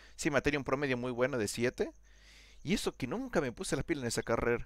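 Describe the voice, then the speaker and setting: Speaking at a very fast pace, a man keeps to a medium pitch. The recording is very clean, with a silent background. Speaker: programming student. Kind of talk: casual chat.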